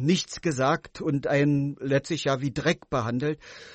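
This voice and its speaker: This man speaks at a moderate pace with a fairly high pitch. His voice is somewhat breathy, with fairly even intonation. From East Berlin. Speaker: author and contemporary witness. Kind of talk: radio interview. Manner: hesitant, many fillers.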